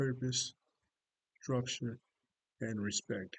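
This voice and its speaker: A man with an American accent speaks fairly slowly at a medium pitch in a dry, close recording with no echo. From Atlanta, Georgia, US South. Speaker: retired army first sergeant and graduate student. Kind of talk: self-introduction video. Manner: slow, halting.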